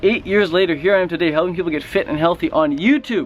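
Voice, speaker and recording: A man's very fast speech with lively intonation and a fairly high pitch, over noticeable background noise. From Western Canada (Vancouver). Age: 20s. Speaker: fitness and raw food YouTuber. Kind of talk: vlog rant. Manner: animated.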